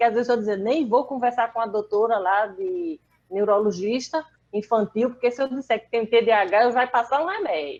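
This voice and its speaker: With lively intonation, a woman speaks in a normal speaking voice, fairly high in pitch, at a moderate pace. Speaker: person living with aphasia. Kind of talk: casual chat.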